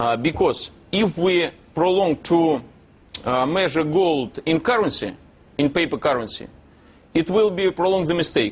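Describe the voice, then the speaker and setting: With a Russian accent, a man speaks at a high pitch for a man and a moderate pace, using lively intonation, very even loudness, and long, frequent pauses. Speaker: businessman. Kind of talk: TV interview. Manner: halting.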